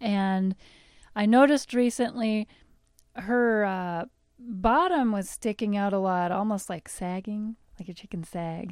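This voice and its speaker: A woman with an ordinary speaking voice talks at a fairly slow pace in a medium pitch, with ordinary pitch variation, on a very clean recording with a silent background. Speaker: podcast co-host. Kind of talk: casual chat.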